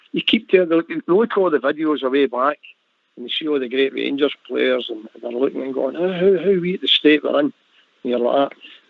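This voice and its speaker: A man speaks at a fairly high pitch and a fairly quick pace. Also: ordinary pitch variation. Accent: Glasgow. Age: 60s. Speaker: football fan panelist. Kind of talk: casual chat.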